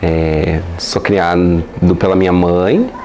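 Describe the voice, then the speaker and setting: There is audible room echo and noticeable background noise as a man talks in a very deep, low pitch. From Brazil, Paraná (União da Vitória). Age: 20s. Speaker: LGBT activist and university staff member. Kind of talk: interview. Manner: halting, many fillers.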